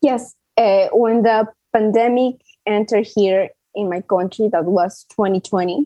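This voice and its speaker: A woman with a Spanish accent, fairly high in pitch, at a fairly slow pace with fairly even intonation. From Peru. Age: 20s. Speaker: patient advocate and cancer survivor. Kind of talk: interview. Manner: halting, with fillers.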